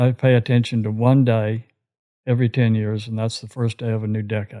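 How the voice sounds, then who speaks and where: Fairly quick and monotone, a man with a Texan accent talks at medium pitch with flat intonation. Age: 70s. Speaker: retired commercial real estate broker. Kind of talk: casual interview chat. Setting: in the host's home.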